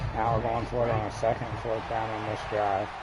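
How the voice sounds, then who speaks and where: Over noticeable background noise and audible room echo, a man with a fairly low pitch speaks at a moderate pace. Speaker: gaming streamer. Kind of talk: gameplay commentary. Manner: loud; animated.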